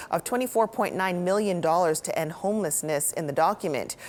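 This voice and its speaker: A woman's medium-pitched, unremarkable speaking voice with ordinary pitch variation. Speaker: news anchor. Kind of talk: TV news anchor read.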